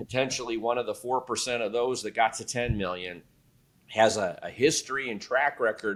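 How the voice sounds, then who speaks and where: A man speaks at a moderate pace and a medium pitch. It is a plain, everyday voice, on a very clean recording with a silent background. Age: 60s. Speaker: private equity expert. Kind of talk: podcast interview.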